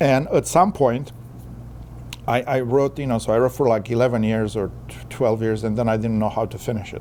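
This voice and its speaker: A man with a non-native accent talks at a fairly quick pace. His pitch is medium and his intonation fairly even. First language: not English. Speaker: author and poet. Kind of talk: interview. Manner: halting, repeats words.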